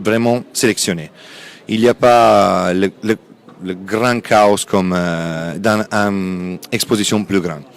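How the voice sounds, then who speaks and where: With an Italian accent, a man speaks at a fairly low pitch with ordinary pitch variation. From Italy. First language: Italian (speaking French). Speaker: textile company sales representative. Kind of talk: interview at a trade fair. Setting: trade fair stand.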